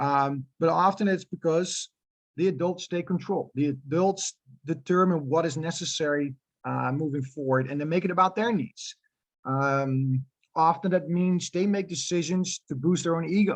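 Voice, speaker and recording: A man with a Dutch accent speaks at a high pitch and a moderate pace, with ordinary pitch variation. The sound is dry and close with no echo, and the background is quiet. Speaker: youth soccer club director. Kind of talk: presentation. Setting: info night town hall. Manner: hesitant, many fillers.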